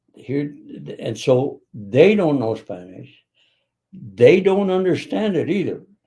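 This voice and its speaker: The voice is dark and mellow, somewhat breathy, with an American accent and very wide pitch swings. It moves at a very slow pace with long, frequent pauses. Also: man, fairly high pitch for a man. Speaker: retired business leader. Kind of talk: interview. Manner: halting.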